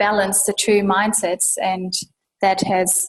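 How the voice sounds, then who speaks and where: Somewhat breathy delivery with a slight German accent and monotone, flat intonation. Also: woman. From Germany. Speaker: urban sustainability professional. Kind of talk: interview.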